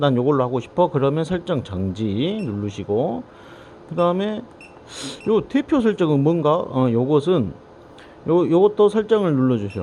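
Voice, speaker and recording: A man with a Jeolla accent talks at a moderate pace, his pitch swinging very widely between long, frequent pauses. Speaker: drone maintenance technician. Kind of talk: casual instructional talk to camera.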